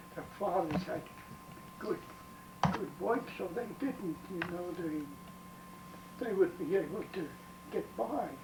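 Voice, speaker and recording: With an American accent, the speaker talks at a very slow pace with ordinary pitch variation and long, frequent pauses, over noticeable background noise. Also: man, high pitch for a man. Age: 80s+. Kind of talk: interview answer. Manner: hesitant.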